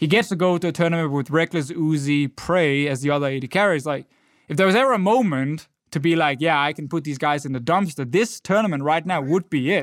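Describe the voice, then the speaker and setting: Here a man with a Danish accent speaks at a fairly high pitch. The sound is dry and close with no echo, on a very clean recording with a silent background. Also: ordinary pitch variation, fairly quick pace. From Denmark. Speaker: esports podcast co-host and analyst. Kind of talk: casual chat.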